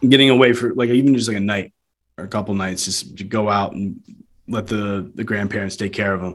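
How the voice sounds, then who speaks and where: A man talks at a fairly quick pace in an ordinary speaking voice. His pitch is fairly low, with ordinary variation. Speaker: podcast host. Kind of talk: casual interview chat.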